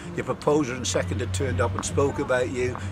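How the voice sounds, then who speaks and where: At a very fast pace, a man of medium pitch talks with ordinary pitch variation over noticeable background noise. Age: 60s. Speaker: bowls club official. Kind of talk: interview. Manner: halting, many repetitions.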